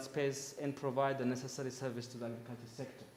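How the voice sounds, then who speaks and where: A fairly high-pitched man, fairly quick and monotone with flat intonation, in audible room echo. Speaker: conference speaker from agricultural research institution. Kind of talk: conference presentation. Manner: loud.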